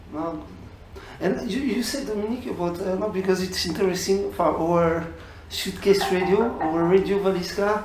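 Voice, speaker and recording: Noticeable noise sits behind the voice. The words come at a moderate pace. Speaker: radio interviewer. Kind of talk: interview. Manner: halting non-native English.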